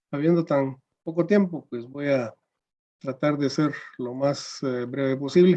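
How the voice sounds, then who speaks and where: With music in the background, a man speaks at a very slow pace and a fairly high pitch, with ordinary pitch variation. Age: 60s. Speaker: judge. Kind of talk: panel presentation. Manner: hesitant with fillers.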